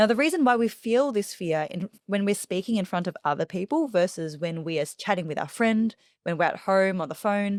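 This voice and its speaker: In an Australian accent, a woman speaks at a medium pitch and a fairly quick pace, with lively intonation and hardly any pauses. The recording is very clean with a silent background, and the sound is dry and close with no echo. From Australia, Melbourne. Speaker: public speaking coach. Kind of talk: interview.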